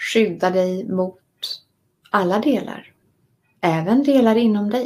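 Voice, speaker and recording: A woman speaks at medium pitch and a very slow pace in a calm, soothing tone. Her pitch varies in an ordinary way. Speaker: meditation and writing course teacher. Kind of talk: guided meditation and lecture.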